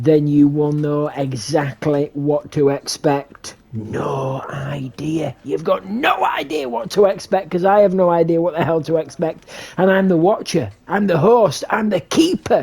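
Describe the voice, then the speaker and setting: The voice sits at a middle pitch. It moves at a moderate pace with hardly any pauses. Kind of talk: grandiose mock-epic narration. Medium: game stream. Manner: dramatic, repetitive, incantatory.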